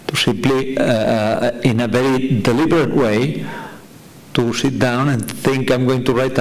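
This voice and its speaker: A Catalan accent at a fairly slow pace, with noticeable background noise and audible room echo. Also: man. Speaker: novelist. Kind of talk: panel discussion. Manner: halting.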